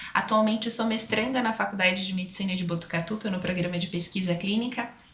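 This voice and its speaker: A woman speaks very fast in an interior São Paulo accent with fairly even intonation. Background noise is noticeable. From Brazil, interior of São Paulo state. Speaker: aesthetician and speaker. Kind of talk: podcast interview.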